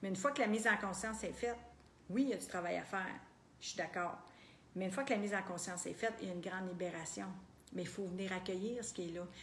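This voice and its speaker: A woman with a Quebec accent speaks very fast at a medium pitch with ordinary pitch variation, yet leaves long, frequent pauses. Audible room echo surrounds her voice. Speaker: personal development coach. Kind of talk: group coaching talk.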